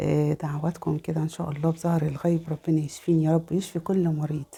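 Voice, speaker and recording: A woman speaks here. Her pitch is very deep and low. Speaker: religious lifestyle vlogger. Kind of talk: religious talk. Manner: halting, many fillers.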